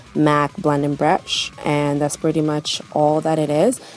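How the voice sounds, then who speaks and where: Delivered at a moderate pace, the speech carries noticeable background noise. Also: woman. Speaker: beauty vlogger. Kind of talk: makeup tutorial.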